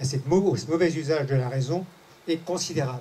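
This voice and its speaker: A man speaks at a fairly slow pace. His pitch is high, with ordinary variation. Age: 70s. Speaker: audience member. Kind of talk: audience comment in Q&A session. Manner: halting, with many restarts.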